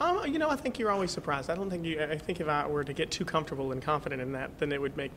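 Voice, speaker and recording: A man with an American accent speaks at a very fast pace, with hardly any pauses. His pitch is fairly high with ordinary variation, and there is noticeable background noise. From North Carolina. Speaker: singer. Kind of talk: interview answer.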